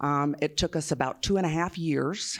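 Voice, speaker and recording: A woman speaks with a Southern US accent. Her pitch is very deep and low. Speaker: nurse and union activist. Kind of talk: panel talk. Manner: slow; hesitant fillers.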